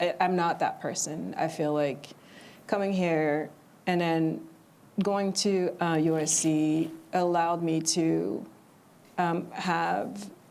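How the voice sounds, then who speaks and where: With audible room echo, a woman speaks at a very slow pace with long, frequent pauses. Her voice is fairly low, with fairly even intonation and very even loudness. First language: not English. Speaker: screenwriter. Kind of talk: panel discussion. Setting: television studio with live audience. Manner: hesitant, many fillers.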